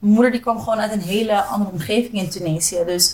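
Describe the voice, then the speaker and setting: At a very fast pace, a woman's somewhat breathy voice rushes along. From Zoetermeer / The Hague area, Netherlands. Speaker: DJ and entrepreneur. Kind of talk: casual interview chat.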